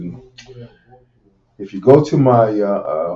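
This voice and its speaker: A man is speaking. His pace is fairly slow. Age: 60s. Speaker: radio host and medical professional. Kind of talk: radio talk show monologue. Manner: halting, many fillers.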